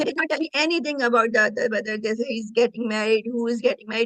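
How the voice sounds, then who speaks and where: A woman's very fast speech, fairly high in pitch, with fairly even intonation. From Pakistan. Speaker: marriage fraud victim. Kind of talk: interview testimony.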